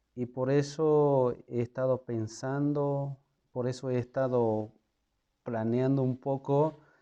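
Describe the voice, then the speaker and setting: A man with an Andean accent speaks very slowly at a medium pitch, his tone dark and mellow. His intonation is monotone and flat. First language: Quechua (speaking Spanish). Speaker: lay preacher. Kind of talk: casual video introduction. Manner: halting, with fillers.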